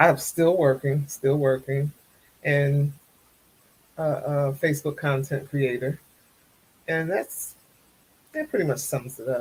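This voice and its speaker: A woman's very slow, somewhat breathy voice with an American accent, very deep and low in pitch, with fairly even intonation and long, frequent pauses. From US Northeast, Trenton, New Jersey. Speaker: content creator. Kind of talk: casual chat.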